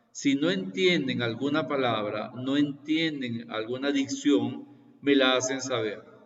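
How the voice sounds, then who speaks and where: A man's voice with audible room echo. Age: 60s. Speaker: economics professor. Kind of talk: lecture. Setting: video call. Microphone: unstable internet connection.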